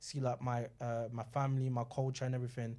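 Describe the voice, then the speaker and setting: A man's medium-pitched voice, dark and mellow, in a monotone, flat intonation at a very fast pace, on a very clean recording with a silent background. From London and Nigeria. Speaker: panellist. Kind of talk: panel discussion.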